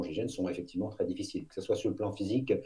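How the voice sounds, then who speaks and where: A man talks at a very fast pace. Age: 50s. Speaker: former elite police officer, public speaker. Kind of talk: interview.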